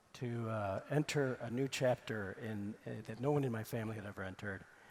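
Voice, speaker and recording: Moderate pace and fairly even intonation from a man at a medium pitch. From Mexico City, then Chicago area. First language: Spanish. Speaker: donor, university alumnus, accountant. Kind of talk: panel discussion.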